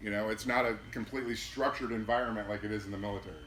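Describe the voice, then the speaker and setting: Very fast speech with an American accent and audible room echo. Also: man. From Minnesota. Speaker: air traffic manager. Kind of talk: presentation to pilot club. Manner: loud.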